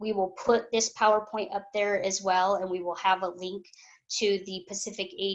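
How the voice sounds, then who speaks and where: Speaking with an ordinary speaking voice, a woman keeps a moderate pace and a medium pitch. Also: quiet background. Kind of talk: webinar presentation.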